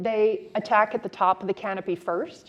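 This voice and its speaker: At a moderate pace, a woman talks in a fairly high pitch with a normal speaking voice. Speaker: city forester, conference speaker. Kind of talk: conference presentation.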